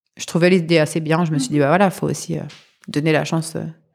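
A woman talks at a very fast pace in a fairly low pitch. The recording is very clean, with a silent background. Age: 30s. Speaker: mother sharing birth story. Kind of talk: testimony.

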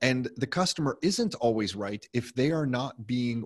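A plain, everyday voice with a Canadian accent talks at a moderate pace. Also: man, dry, close sound with no echo. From Canada, Mississauga (Greater Toronto Area). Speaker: real estate investor and entrepreneur. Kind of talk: interview.

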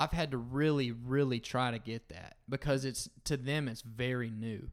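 A man with a Southern US accent and ordinary pitch variation, on a very clean recording against a silent background. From US South, North Florida. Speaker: singer-songwriter. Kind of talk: casual chat.

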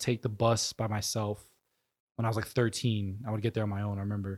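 A man with a New York accent talks very fast at a medium pitch. His intonation stays flat and monotone, and the recording is very clean with a silent background. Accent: New York American. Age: 20s. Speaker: professional soccer player. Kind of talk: casual interview.

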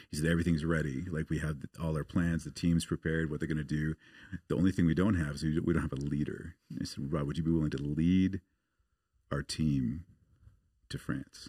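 A man with an American accent speaks in a very deep, low voice at a fairly quick pace, leaving long, frequent pauses. His intonation is monotone and flat. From US Pacific Northwest, outside Portland, Oregon. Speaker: missionary. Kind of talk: casual interview.

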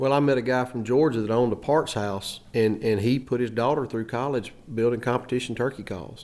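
A man's plain, everyday voice at a medium pitch and fairly quick pace, fairly even in intonation and with hardly any pauses. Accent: American. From US South, Alabama. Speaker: turkey call maker. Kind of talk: casual chat.

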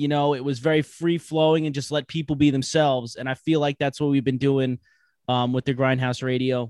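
With an American accent, a man talks in a fairly high pitch and fairly even intonation, the sound dry and close with no echo. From Long Island, New York. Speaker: podcast host. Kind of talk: casual interview chat. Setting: remote call.

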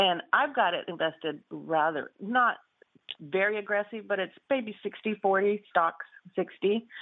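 With a plain, everyday voice, a woman speaks at a medium pitch and a fairly slow pace, using ordinary pitch variation. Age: 50s. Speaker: caller. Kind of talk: phone-in question. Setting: phone call.

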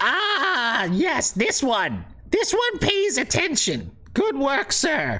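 Over light background noise, a high-pitched put-on character voice moves at a very slow pace. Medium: actual play. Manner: mocking, cackling.

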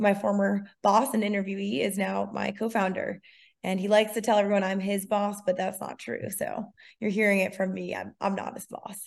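Speaking with fairly even intonation at a fairly quick pace, this is a normal speaking voice against a quiet background. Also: woman, medium pitch for a woman. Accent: American. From Massachusetts, near Cape Cod. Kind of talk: interview.

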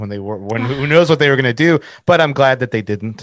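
Here is an unremarkable speaking voice from a man. He goes at a fairly quick pace with ordinary pitch variation. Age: 30s. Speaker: graphic designer and merch brand owner. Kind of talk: casual chat.

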